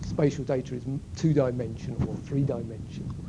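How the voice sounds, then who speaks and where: The voice belongs to a man. His words carry audible room echo. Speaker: university lecturer. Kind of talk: lecture. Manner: halting.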